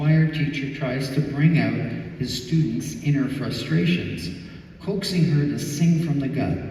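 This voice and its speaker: A man with a fairly high pitch talks at a fairly slow pace over noticeable background noise. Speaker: rock singer and bassist. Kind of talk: memoir reading to live audience.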